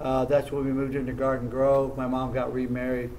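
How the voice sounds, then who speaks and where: A fairly high-pitched man with an American accent at a very fast pace, with audible room echo. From southern California (Orange County). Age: 60s. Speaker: martial arts champion. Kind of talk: interview. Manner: halting.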